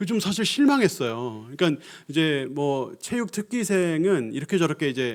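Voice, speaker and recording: A man's fairly high voice with very wide pitch swings, on a very clean recording with a silent background. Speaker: pastor. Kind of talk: sermon. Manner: conversational.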